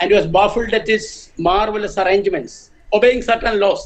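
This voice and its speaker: A man's high voice with ordinary pitch variation. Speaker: professor. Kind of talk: lecture.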